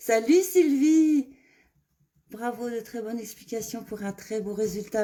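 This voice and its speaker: The woman's voice has a dark, mellow tone. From Burgundy, Saône-et-Loire, France. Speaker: make-up brand ambassador. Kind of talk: live make-up tutorial and sales pitch. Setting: Facebook live stream. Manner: hesitant, many fillers.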